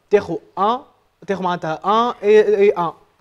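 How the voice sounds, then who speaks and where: The background is quiet. The speaker uses ordinary pitch variation. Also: man. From Tunisia. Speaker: programming instructor. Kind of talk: live coding workshop. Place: classroom. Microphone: lapel.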